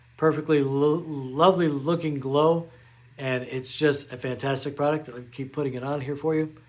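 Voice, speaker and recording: A man with a plain, everyday voice speaks at fairly high pitch. His pace is moderate and his intonation fairly even. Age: 60s. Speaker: beauty vlogger. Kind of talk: product review tutorial. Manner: casual, with frequent fillers.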